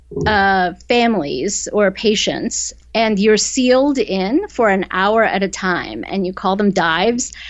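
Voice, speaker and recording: A woman with an American accent at a fairly slow pace, medium pitch and ordinary pitch variation. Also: hardly any pauses. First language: Korean. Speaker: novelist. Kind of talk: interview. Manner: conversational with many fillers.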